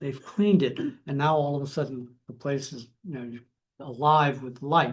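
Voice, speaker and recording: Somewhat breathy and fairly high in pitch, a man talks at a moderate pace with ordinary pitch variation against a quiet background. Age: 70s. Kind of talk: church talk on travels. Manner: casual, enthusiastic.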